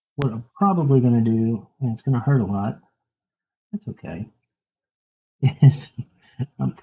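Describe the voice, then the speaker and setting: The man's voice is somewhat breathy, with ordinary variation in pitch. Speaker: tattoo artist streamer. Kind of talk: casual live-stream chat while tattooing. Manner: soft-spoken.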